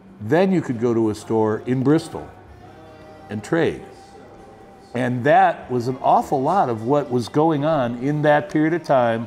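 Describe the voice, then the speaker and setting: A man speaks fairly slowly with long, frequent pauses, at a medium pitch with ordinary pitch variation. Music plays in the background. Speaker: storyteller. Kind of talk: interview answer.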